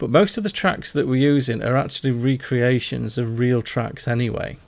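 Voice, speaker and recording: With a Yorkshire accent, a man talks at a moderate pace. His pitch is medium with ordinary variation. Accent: mild Yorkshire. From Yorkshire, northern England. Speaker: gaming streamer. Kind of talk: live gameplay commentary. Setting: livestream at home desk. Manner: halting, stammering while concentrating; loud. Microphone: mic placed too close at first.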